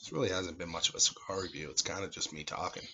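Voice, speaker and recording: Quietly, a man talks at a fairly quick pace. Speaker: amateur cigar and wine reviewer. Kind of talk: casual vlog monologue. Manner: talking quietly; halting, filler-heavy. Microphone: no microphone, camera audio.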